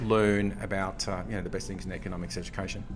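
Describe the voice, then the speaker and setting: Fairly low male voice with an Australian accent at a fairly quick pace. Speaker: economics professor. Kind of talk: casual chat. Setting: hotel breakfast area.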